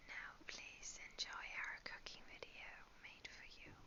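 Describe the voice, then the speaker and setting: Someone whispers at a fairly slow pace. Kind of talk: ASMR cooking narration. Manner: whispered.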